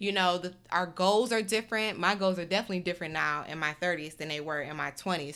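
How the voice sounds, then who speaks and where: A woman's bright, sharp voice in an American accent, lively in intonation, on a very clean recording with a silent background. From US Midwest (Detroit). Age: 30s. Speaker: podcast host and YouTuber. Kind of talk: casual solo monologue. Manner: rambling, chatty.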